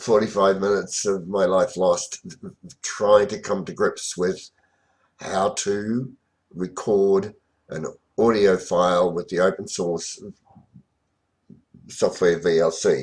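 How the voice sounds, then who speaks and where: In an Australian accent, a man with a fairly low pitch talks at a very slow pace, with fairly even intonation and long, frequent pauses. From Australia, rural central Victoria. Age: 60s. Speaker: memoir narrator. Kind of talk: informal autobiographical narration. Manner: halting, many fillers.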